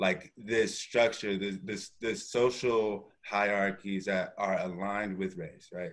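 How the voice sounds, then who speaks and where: Against a quiet background, a man with a fairly low pitch and a normal speaking voice talks at a fairly slow pace. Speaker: panel moderator. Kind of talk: panel discussion. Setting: video call. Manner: casual and playful. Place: home room. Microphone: video call.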